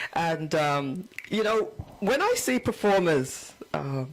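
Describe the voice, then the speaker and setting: Against noticeable background noise, a woman with a fairly low pitch speaks with lively intonation. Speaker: talk show host. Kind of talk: talk show interviewing.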